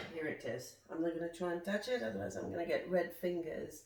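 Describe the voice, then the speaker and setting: A woman is speaking. Room echo can be heard. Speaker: nutritionist and detox coach. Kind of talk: cooking tutorial vlog. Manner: slightly slurred, hesitant with fillers.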